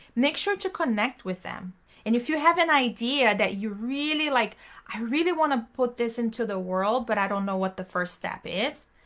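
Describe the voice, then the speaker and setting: A woman speaks with a Portuguese accent and a fairly high pitch. Her tone is bright and sharp, and her intonation is lively. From Brazil. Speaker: online business strategist, event host. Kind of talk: live panel talk to online audience. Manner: casual, enthusiastic.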